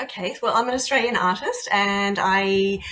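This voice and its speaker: With noticeable background noise behind her, a woman speaks at a medium pitch. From Australia. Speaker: artist and art teacher. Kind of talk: interview conversation.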